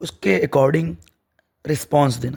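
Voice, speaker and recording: The man's voice is fairly high in pitch and somewhat breathy. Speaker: teacher. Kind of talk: lecture.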